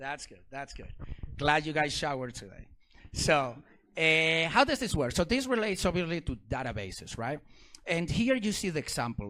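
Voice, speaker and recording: A man's fairly high, animated voice with very wide pitch swings and a non-native accent. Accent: foreign accent in English. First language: not English. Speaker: security researcher and speaker. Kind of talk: technical talk to a live audience. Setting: stage with audience.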